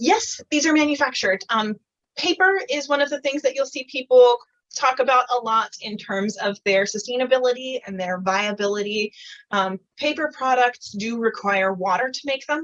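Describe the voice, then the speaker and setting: Dry and close with no echo, this recording features a woman with a high pitch. She speaks at a moderate pace with lively intonation. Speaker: environmental activist. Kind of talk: online Q&A talk.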